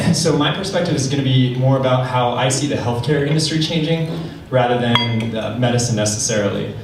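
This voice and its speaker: A man talks at a fairly quick pace with a medium pitch and ordinary pitch variation. Audible room echo and noticeable background noise surround his voice. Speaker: tech startup founder and CEO. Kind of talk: conference panel talk. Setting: stage with audience. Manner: fast. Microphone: held far from the mouth.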